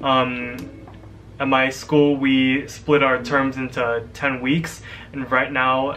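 At a very slow pace, the speech runs in monotone, flat intonation over light background noise. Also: man. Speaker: college student vlogger. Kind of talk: casual vlog chat. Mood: relaxed, slightly nervous. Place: home room. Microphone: webcam.

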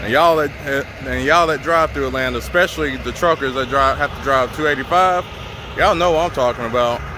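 Talking at a very fast pace, a man shows ordinary pitch variation. The sound is dry with no echo, but background noise is noticeable. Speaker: truck driver vlogger. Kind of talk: casual vlog chat. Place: street.

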